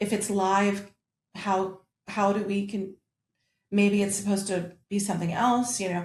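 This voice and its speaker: With an American accent, a woman speaks fairly slowly at a medium pitch, somewhat breathy and monotone, leaving long, frequent pauses. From United States. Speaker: opera singer, mezzo-soprano. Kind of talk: interview answer.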